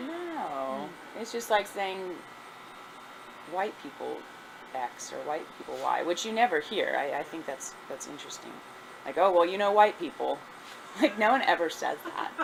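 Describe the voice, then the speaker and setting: Moderately paced female speech broken by long, frequent pauses, with noticeable background noise behind it. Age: 40s. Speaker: history professor. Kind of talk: oral history interview answer.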